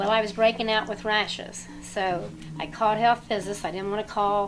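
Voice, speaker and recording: A woman with an American accent speaks at a medium pitch and a moderate pace. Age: 60s. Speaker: former nuclear plant worker. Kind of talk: interview testimony. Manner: halting.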